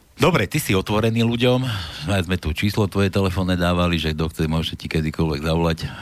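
Over noticeable background noise, a man rattles along at a very fast pace with a very deep, low pitch and ordinary pitch variation. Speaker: radio host. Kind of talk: casual political talk show. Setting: studio.

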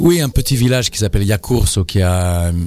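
A man speaks with ordinary pitch variation. Noticeable background noise runs underneath. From Switzerland, Italian family. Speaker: actor and playwright. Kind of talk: interview. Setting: studio.

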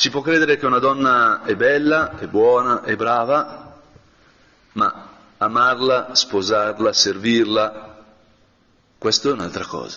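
A man speaks very slowly at a medium pitch with ordinary pitch variation, leaving long, frequent pauses. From northern Italy, Brianza. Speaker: priest. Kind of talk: guided meditation.

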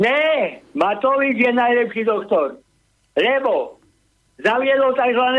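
This man talks at a very slow pace with long, frequent pauses, his pitch extremely high. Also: ordinary pitch variation. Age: 60s. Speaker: caller. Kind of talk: casual chat.

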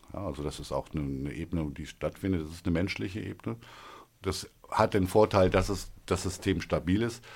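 The recording is very clean, with a silent background. A man talks there with vocal fry and a very deep, low pitch. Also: ordinary pitch variation, fairly quick pace. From northern Hesse, Germany (near Kassel). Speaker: regional currency founder. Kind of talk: interview. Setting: studio. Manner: hesitant, many fillers.

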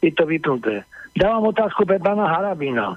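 This man has a high voice and lively intonation. He talks at a moderate pace. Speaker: caller. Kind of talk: call-in question. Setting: phone call. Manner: agitated.

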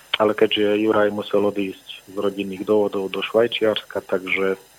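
Against noticeable background noise, a man with a fairly low pitch talks at a moderate pace in a flat monotone. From southern Slovakia, Filakovo/Lučenec area. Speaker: rock musician. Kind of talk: radio interview. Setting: phone call.

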